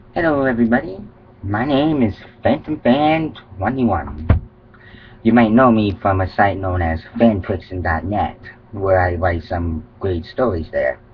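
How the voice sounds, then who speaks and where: The speech comes at a fairly slow pace with lively intonation, against noticeable background noise. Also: man. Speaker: fan fiction writer, vlogger. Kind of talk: casual vlog monologue. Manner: halting, loses track.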